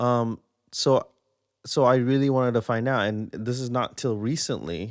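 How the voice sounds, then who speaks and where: Recorded very cleanly against a silent background, a man with a slight Singaporean accent speaks at a fairly slow pace. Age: 30s. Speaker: podcaster. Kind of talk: casual monologue. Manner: halting, many fillers and repeats.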